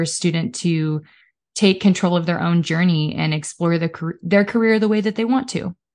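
In a Midwestern American accent, a woman with a fairly low pitch talks at a moderate pace with ordinary pitch variation over a quiet background. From Kansas. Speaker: education liaison. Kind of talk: casual chat.

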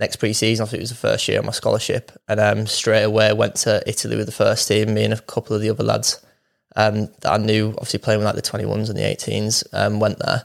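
The speech is very fast. It comes in a Yorkshire accent. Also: man, very clean recording, silent background. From northern England, Wakefield, Yorkshire. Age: 20s. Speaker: professional footballer. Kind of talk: casual interview.

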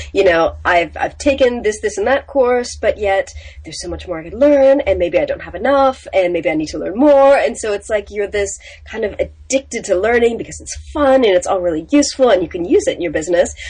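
Over noticeable background noise, the speech runs at a fairly quick pace with big swings in loudness. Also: woman. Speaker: business coach. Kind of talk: casual interview.

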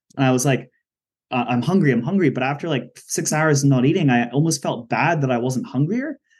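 A man speaks with an unremarkable speaking voice, pitched fairly high. His delivery is fairly quick, and his pitch varies in an ordinary way. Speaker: podcast host. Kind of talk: interview, casual conversation.

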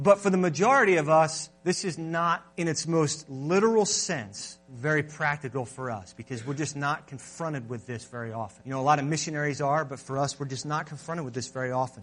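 A man's fairly high voice with hardly any pauses, music in the background. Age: 20s. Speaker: pastor. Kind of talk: sermon. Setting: church.

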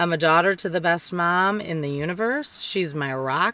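Speaking fairly slowly with a Detroit accent, the voice carries an animated tone in a very clean recording with a silent background. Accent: Michigan (Detroit area) American. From Downriver Detroit area, Michigan. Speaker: podcast host. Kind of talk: casual monologue.

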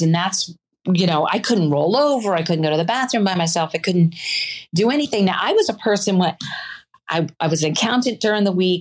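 A woman with an ordinary speaking voice talks at a fairly quick pace, her medium pitch carried by lively intonation. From US South. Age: 50s. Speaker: person living with a chronic illness. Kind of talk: interview. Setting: video call.

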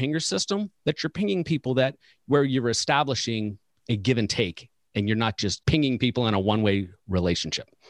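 Speaking with an unremarkable speaking voice at medium pitch, a man talks fairly quickly with lively intonation on a very clean recording with a silent background and a dry, close sound with no echo. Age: 40s. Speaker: financial advisor coach and podcast host. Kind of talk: casual interview chat.

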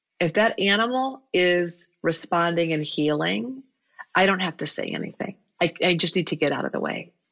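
A woman at a fairly low pitch with lively intonation and a moderate pace. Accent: Midwestern US. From US Midwest (Iowa). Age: 50s. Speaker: veterinarian. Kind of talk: interview conversation.

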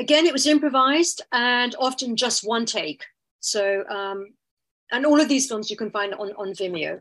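The delivery moves at a moderate pace. Its intonation is lively. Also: woman, high pitch for a woman. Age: 60s. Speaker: dancer and artist-researcher. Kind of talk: academic seminar talk.

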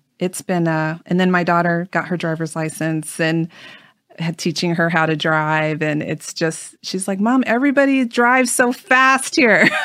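A woman with an American accent speaks in a plain, everyday voice, fairly low in pitch, at a moderate pace. Her intonation is lively, and the recording is very clean with a silent background. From US Midwest. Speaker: tour guide and travel company founder. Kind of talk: interview. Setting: in person.

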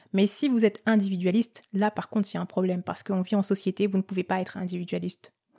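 Somewhat breathy and dark, mellow in tone, the voice rushes at a very fast pace with monotone, flat intonation in a dry, close sound with no echo. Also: woman, medium pitch for a woman. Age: 30s. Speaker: podcast host. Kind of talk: casual personal monologue. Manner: hesitant, frequent filler words.

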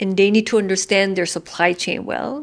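A woman with a Korean accent. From South Korea. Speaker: head of a UN migration agency office. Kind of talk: interview.

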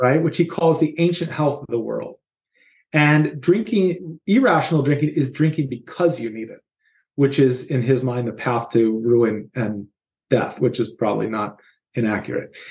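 At a moderate pace, a somewhat breathy man speaks with a fairly high pitch, lively intonation and big swings in loudness. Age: 40s. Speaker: bartender and wellness coach. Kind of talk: casual chat.

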